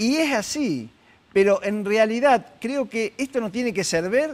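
This man's voice sits high in pitch and moves with lively intonation. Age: 70s. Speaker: psychologist; guest. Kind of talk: interview. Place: studio. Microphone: lapel.

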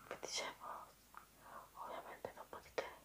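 A woman whispers at a moderate pace. Background noise is noticeable. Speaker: ASMR video creator. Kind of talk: ASMR whispered chat to camera. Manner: whispered, soft-spoken, intimate.

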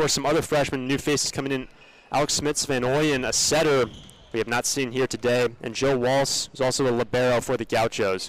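Fairly quick in pace, a man with an unremarkable speaking voice talks in a medium pitch with fairly even intonation. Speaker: play-by-play commentator. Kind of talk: live sports commentary.

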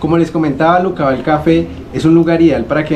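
A man rattles along at a very fast pace with light noise in the background. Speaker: travel vlogger. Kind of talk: casual vlog chat. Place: cafe. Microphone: phone near.

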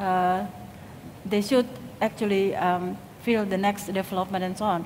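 Against light background noise, a woman with an Indonesian accent talks at a moderate pace in a medium pitch. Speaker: industrial design lecturer. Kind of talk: conference talk. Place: stage. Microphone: headset.

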